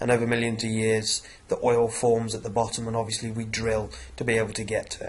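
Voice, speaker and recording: Amid noticeable background noise and audible room echo, a man of medium pitch talks at a fairly quick pace. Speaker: science teacher. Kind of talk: revision lecture. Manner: hesitant, many fillers.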